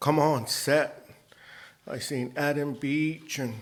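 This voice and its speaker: In a Cheyenne accent, a man with a fairly high pitch speaks at a very slow pace. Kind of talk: anecdote; award acceptance speech.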